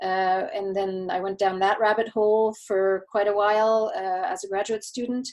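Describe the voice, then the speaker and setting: At a moderate pace and a medium pitch, a woman speaks with fairly even intonation and hardly any pauses. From Quebec, Canada. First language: German. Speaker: marketing consultant. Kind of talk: interview. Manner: halting, many repeated words.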